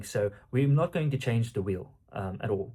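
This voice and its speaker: Speaking at a fairly quick pace with an Afrikaans South African accent, a man has a medium pitch, ordinary pitch variation, a dark, mellow tone and a somewhat breathy sound. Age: 20s. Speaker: online coach and entrepreneur. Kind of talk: casual vlog monologue. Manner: halting, many fillers.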